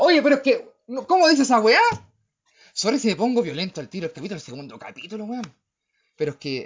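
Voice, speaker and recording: A man talks at a very fast pace in a Chilean accent. His pitch swings very widely. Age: 30s. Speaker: podcast host. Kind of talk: casual political monologue. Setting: livestream. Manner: animated.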